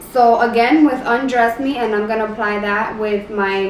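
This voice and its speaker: Over noticeable background noise and audible room echo, a woman speaks with a fairly high pitch and fairly even intonation. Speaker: beauty youtuber. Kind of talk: makeup tutorial. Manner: casual, filler-heavy; halting.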